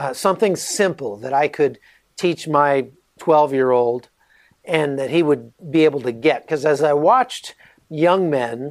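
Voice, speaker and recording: At a fairly slow pace, the speaker uses a normal speaking voice with ordinary pitch variation. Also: man, fairly high pitch for a man. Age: 40s. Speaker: author and journalist, former soldier. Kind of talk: interview.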